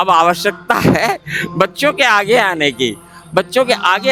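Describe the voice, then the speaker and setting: Music plays in the background as a man speaks in a raised, projected voice. His pitch is high. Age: 70s. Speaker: spiritual organization coordinator, ex-air force. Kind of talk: interview, personal testimony. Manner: repetitive, earnest.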